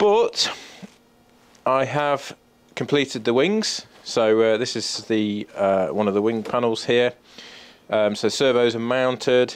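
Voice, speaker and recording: A very slow, medium-pitched man's voice with a British accent, ordinary pitch variation and long, frequent pauses. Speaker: RC model plane YouTuber. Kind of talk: build tutorial. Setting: home workshop. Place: workshop.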